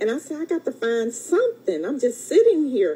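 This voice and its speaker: A woman speaks with a high pitch and very wide pitch swings. Noticeable background noise runs under her voice. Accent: Alabama. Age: 60s. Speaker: fitness program client. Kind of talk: testimony. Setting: radio studio.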